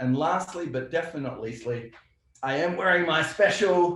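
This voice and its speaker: A man with an Australian accent speaks at a high pitch with ordinary pitch variation. Audible room echo surrounds his voice. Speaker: software company representative. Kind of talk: casual interview.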